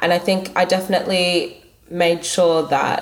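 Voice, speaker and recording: A woman with an Australian accent speaks in a fairly low voice. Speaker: product manager, school alumna. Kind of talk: interview. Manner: thoughtful, pausing.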